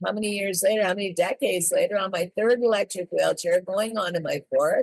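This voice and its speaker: With a plain, everyday voice, a woman speaks at a moderate pace and fairly high pitch, with fairly even intonation and a dry, close sound with no echo. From Canada. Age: 60s. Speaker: drug policy reform advocate. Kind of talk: interview conversation.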